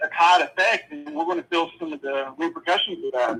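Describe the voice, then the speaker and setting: This is a man speaking. His pace is moderate. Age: 40s. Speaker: caller. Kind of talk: casual chat. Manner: halting.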